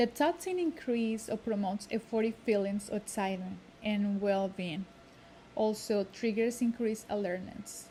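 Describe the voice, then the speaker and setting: A woman's somewhat breathy voice with a dark, mellow tone, ordinary pitch variation and a moderate pace. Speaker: student. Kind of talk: class presentation. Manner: halting, with fillers and self-corrections.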